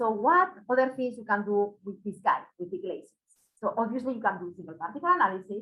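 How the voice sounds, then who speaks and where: A woman with a Spanish accent talks at a very fast pace and a fairly high pitch. Her voice has very wide pitch swings and big swings in loudness. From Spain. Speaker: microscopy product specialist. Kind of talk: webinar presentation. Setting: webinar.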